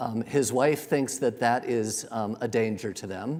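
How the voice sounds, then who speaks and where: A man's delivery has ordinary pitch variation and a moderate pace. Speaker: speaker presenting a medical ethics case series. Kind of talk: lecture with audience polling. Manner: hesitant fillers.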